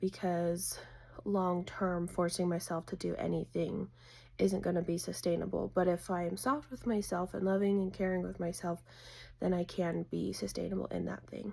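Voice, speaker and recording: A raspy, fairly low put-on character voice from a woman at a moderate pace. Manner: soft, gentle.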